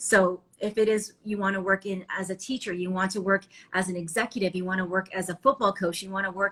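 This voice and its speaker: The speaking is very fast. There is noticeable background noise. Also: woman. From Ontario, Canada. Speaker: TV reporter and anchor. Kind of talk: interview. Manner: animated; loud.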